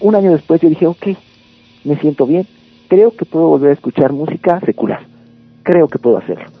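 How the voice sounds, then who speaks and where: Over music in the background, a man with a fairly high pitch and lively intonation speaks at a fairly quick pace. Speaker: metal band vocalist. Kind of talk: radio interview.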